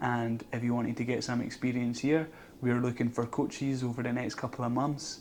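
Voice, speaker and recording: With a monotone, flat intonation, the man delivers his words at a fairly quick pace. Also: medium pitch for a man. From Scotland. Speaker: vlogger. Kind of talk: casual vlog monologue. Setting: outdoors.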